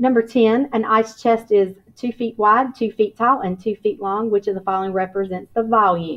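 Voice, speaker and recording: Hardly pausing, a woman with an ordinary speaking voice talks at a fairly high pitch and a moderate pace, with ordinary pitch variation. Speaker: elementary school teacher. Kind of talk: tutorial.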